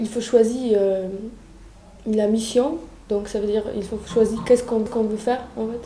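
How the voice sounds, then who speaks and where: In a Polish accent, the speaker delivers a monotone, flat line at a fairly slow pace, with audible room echo and noticeable background noise. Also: woman. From Poland. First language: Polish (speaking French). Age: 20s. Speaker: European volunteer. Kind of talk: testimony. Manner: halting, many hesitations.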